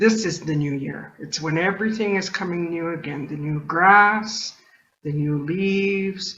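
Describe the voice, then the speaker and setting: Using an ordinary speaking voice, a woman talks at a fairly slow pace and fairly low pitch with fairly even intonation. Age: 60s. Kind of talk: talk to an audience. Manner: conversational, with many fillers.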